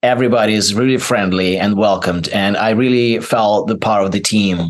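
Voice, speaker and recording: A man with a non-native accent speaks fairly quickly in a fairly low pitch, his intonation fairly even and his loudness very even. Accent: foreign accent, noticeable. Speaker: actor. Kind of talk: interview. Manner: halting, many fillers.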